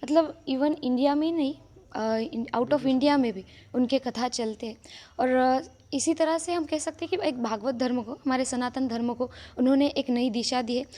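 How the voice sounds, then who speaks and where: With a Marathi accent, a woman speaks at a moderate pace in a high pitch with a dark, mellow tone and ordinary pitch variation, in a very clean recording with a silent background. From Maharashtra, India. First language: Marathi (speaking Hindi). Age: young. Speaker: religious storyteller. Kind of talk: interview.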